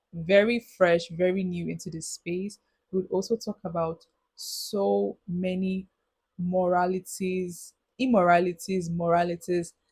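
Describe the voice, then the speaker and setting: Somewhat breathy speech with monotone, flat intonation comes through a dry, close sound with no echo. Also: woman. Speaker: youth advice vlogger. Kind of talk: casual monologue. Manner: halting.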